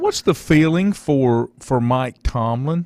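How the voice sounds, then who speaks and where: In a dry, close recording with no echo, a man talks in a Southern US accent. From North Carolina. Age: 60s. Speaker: sports talk radio host. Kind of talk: radio interview.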